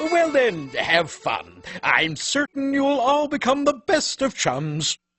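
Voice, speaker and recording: A cartoonish character voice moves along at a fairly slow pace. Faint music plays in the background. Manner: polite, formal.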